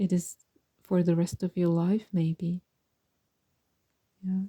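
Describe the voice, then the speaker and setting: A woman with a non-native accent speaks in a fairly low, dark, mellow, somewhat breathy voice with monotone, flat intonation. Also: dry, close sound with no echo. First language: not English. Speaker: tarot reader and mindfulness teacher. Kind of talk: pick a card tarot reading. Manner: calm, gentle; halting, self-correcting.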